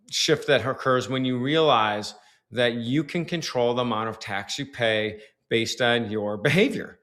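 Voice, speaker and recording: In a normal speaking voice, a man with an American accent talks at a fairly slow pace with ordinary pitch variation. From Detroit, US Midwest. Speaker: tax strategist and author. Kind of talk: podcast interview.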